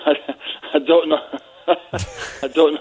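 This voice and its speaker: The speaker is a man. He has a Scottish accent. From Scotland. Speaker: football pundit. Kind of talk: casual chat. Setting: phone call.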